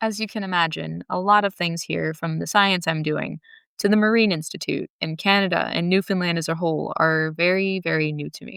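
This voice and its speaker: A woman speaks with an American accent in a plain, everyday voice, fairly low in pitch, at a fairly quick pace with fairly even intonation. The sound is dry and close with no echo, and the recording is very clean with a silent background. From Southern California. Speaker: podcast host and graduate student researcher. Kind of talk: scripted podcast narration.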